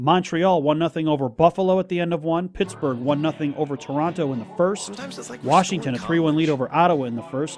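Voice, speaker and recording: A man's very fast speech with ordinary pitch variation. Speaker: radio announcer giving scores. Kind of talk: news and score reading.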